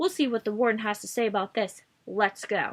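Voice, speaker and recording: This put-on character voice moves at a fairly quick pace with ordinary pitch variation. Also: woman. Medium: read story. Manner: sarcastic, commanding.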